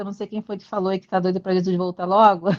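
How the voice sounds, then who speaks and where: A woman speaks with a Rio de Janeiro accent at a medium pitch. The sound is dry and close, with no echo. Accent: carioca. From Brazil, Rio de Janeiro. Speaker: physical education teacher, study group member. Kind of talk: casual self-introduction in group video call.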